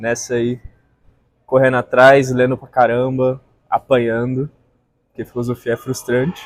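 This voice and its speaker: Speaking fairly slowly with long, frequent pauses, a man keeps a monotone, flat intonation at medium pitch while his loudness swings widely. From Brazil, Brasília. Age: 20s. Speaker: philosophy student. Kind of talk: casual chat.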